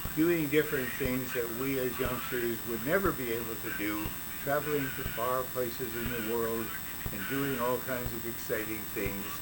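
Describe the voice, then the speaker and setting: With music in the background, the speaker keeps a moderate pace and fairly even intonation. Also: man. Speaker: radio-history show host. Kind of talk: casual radio-history talk to a co-host. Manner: conversational reminiscing.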